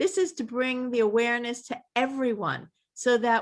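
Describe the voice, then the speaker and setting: A woman speaks at a fairly slow pace in a high voice. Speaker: event organizer. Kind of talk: closing remarks at online panel. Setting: video call.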